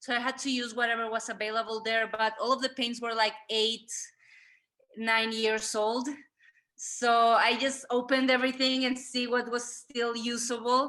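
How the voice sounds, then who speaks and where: In a Spanish accent, a woman speaks at a moderate pace with a high pitch, a bright, sharp tone, and monotone, flat intonation against a quiet background. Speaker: artist. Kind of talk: interview. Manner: halting.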